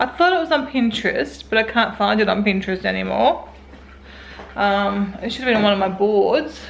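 Over light background noise, a woman speaks at a fairly quick pace. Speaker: home vlogger. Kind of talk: casual vlog chat. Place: home room. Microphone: phone near.

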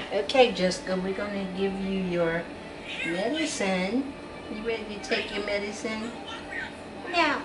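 Clear music plays in the background as the speaker talks at a fairly slow pace with ordinary pitch variation. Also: woman. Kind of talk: gentle talk to a person being cared for. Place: home room. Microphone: phone near.

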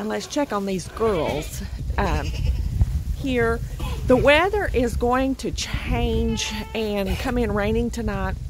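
Noticeable background noise sits behind a woman who speaks at a very slow pace in a dry sound with no echo. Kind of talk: casual vlog chat. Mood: calm, informative. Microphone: phone near.

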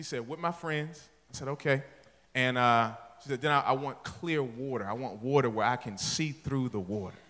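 Animated in tone, a man speaks at a moderate pace. His pitch variation is ordinary. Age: 40s. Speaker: pastor. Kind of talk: sermon. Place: church. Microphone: handheld.

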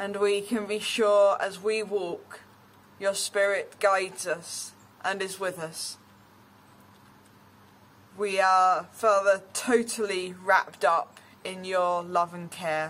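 Very slowly, a woman speaks in a monotone, flat intonation. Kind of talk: prayer. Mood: calm, reverent. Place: garden.

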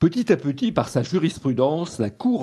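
A man talks at a fairly slow pace with lively intonation. His tone is dark and mellow. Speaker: radio newsreader. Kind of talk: news bulletin reading. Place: studio.

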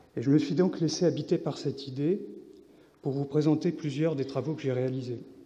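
Fairly quick and somewhat breathy, a man talks with a fairly high pitch, a dark, mellow tone and fairly even intonation. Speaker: visual artist and scientific researcher. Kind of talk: conference talk. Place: hall.

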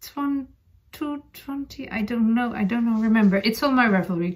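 This woman speaks with a Dutch accent.

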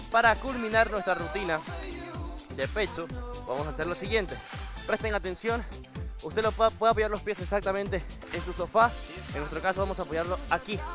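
A man speaks at a fairly quick pace over clear background music, the sound dry with no echo. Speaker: fitness instructor. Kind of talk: tutorial. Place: studio. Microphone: lapel.

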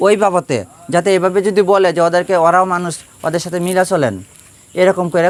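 Noticeable background noise fills the recording. Through it, a man talks in a high pitch. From Bangladesh, Sunamganj (Sylhet region). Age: 30s. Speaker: local election candidate. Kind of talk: interview.

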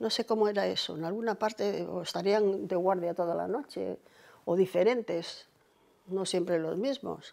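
A woman's dark, mellow voice with vocal fry, ordinary pitch variation, and a moderate pace. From Cantabria, Spain. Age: 80s+. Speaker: oral history interviewee; interviewee. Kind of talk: life story interview. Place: home room.

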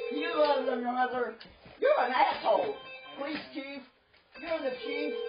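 Clear music in the background behind a fairly slow pace. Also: woman. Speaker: newspaper co-owner. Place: home room. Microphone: camera far.

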